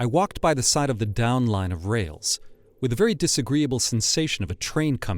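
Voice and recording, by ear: The speaker reads aloud in a natural voice, and the intonation is lively.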